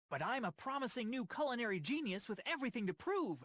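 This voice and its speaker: A put-on character voice with very wide pitch swings, a very fast pace and very even loudness. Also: man, extremely high pitch for a man. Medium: video game. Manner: casual, wisecracking.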